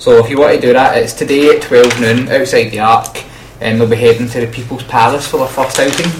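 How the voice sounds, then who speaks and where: Amid noticeable background noise, a man speaks very fast at a medium pitch. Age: 20s. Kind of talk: radio dj patter, student radio presenting. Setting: radio studio. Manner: bright, jokey, and energetic, with quick station-ident style links.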